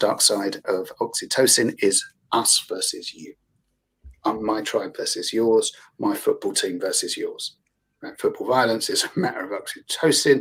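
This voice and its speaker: A man talks with a London accent. His loudness swings widely. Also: moderate pace. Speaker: therapist and yoga teacher. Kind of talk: panel discussion.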